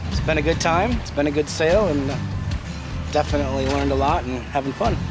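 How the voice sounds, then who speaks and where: Clear music plays behind a man talking at a very fast pace. The sound is dry, with no echo. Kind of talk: casual vlog chat. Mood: happy, reflective. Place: boat. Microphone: camera far.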